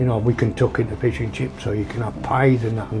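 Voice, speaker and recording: A man with a Yorkshire accent and a medium pitch talks at a very fast pace over noticeable background noise. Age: 60s. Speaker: former homeless man. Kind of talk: casual chat. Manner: animated.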